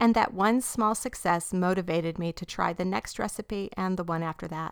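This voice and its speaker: A woman with an unremarkable speaking voice at a moderate pace, on a very clean recording with a silent background. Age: 40s. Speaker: podcast host. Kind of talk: testimony; casual Bible teaching.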